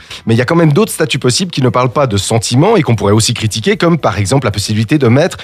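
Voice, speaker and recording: A man with medium pitch speaks in a somewhat breathy voice with lively intonation. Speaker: radio host. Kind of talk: humorous radio column. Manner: ranting, animated.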